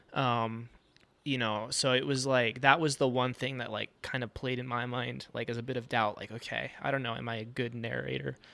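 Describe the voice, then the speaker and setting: The voice has a bright, sharp tone with vocal fry and monotone, flat intonation. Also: man, medium pitch for a man, moderate pace. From New Mexico. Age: 20s. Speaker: mountain bike magazine tester. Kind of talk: casual chat.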